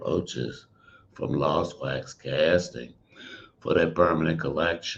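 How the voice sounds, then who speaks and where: A man with a very deep, low pitch and vocal fry, at a very slow pace. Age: 70s. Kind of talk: panel Q&A conversation.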